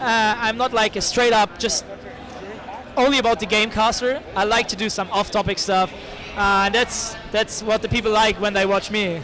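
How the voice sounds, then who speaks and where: A man with a German accent and a raised, projected voice, high-pitched, with fairly even intonation, very even loudness, and noticeable background noise. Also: moderate pace. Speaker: esports caster and tournament organizer. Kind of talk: interview. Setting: event hall with crowd. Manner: halting. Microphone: poor audio quality.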